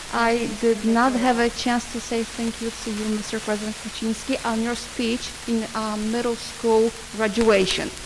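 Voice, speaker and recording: A woman's fairly high voice, flat and monotone, at a fairly slow pace over noticeable background noise. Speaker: member of the public. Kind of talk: public comment. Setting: board meeting.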